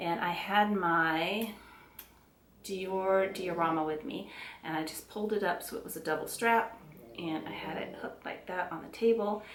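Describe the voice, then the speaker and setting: In a Southern US accent, a woman speaks at a moderate pace and a medium pitch with ordinary pitch variation and big swings in loudness, amid audible room echo and noticeable background noise. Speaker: beauty and handbag vlogger. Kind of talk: casual product review to camera. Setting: at home. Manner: chatty, with frequent fillers and self-corrections.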